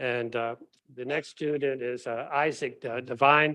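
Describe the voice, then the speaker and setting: At a moderate pace, a man talks at a medium pitch with ordinary pitch variation and a bright, sharp tone. The background is quiet. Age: 70s. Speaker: professor. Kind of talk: award ceremony speech. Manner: casual, halting with fillers.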